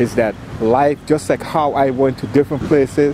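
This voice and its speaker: The voice has an American accent and fairly even intonation. Noticeable background noise can be heard. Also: man. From US Virgin Islands. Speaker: traveling vlogger. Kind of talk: casual chat.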